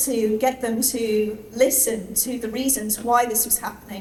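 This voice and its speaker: Amid noticeable background noise and audible room echo, a woman speaks at a moderate pace with high pitch and fairly even intonation. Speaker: animal rights activist. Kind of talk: speech at celebration event. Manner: hesitant, many fillers.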